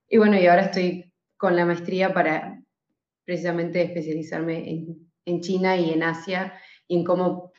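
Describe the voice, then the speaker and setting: A woman speaks at a fairly low pitch and a fairly slow pace. Her intonation is monotone and flat. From Argentina (raised partly in Switzerland). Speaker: podcast team member, news researcher. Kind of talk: casual chat.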